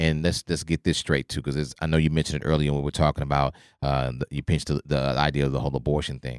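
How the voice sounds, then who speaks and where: With an American accent, a man talks at a very fast pace with hardly any pauses, his very deep, low pitch caught in a dry, close recording with no echo. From Oklahoma. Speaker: podcast host. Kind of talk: casual discussion. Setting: studio. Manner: animated.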